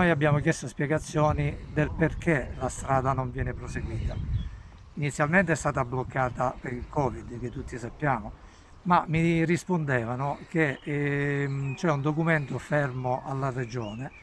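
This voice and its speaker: A man speaks at a fairly slow pace with ordinary pitch variation. The sound is dry with no echo, over light background noise. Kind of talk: interview answer. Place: street.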